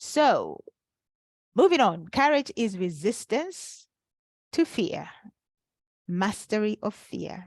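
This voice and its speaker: A woman's somewhat breathy voice moves at a very slow pace with very wide pitch swings, in a dry, close sound with no echo. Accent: non-native. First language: not English. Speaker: life coach. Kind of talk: webinar workshop. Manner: halting with fillers.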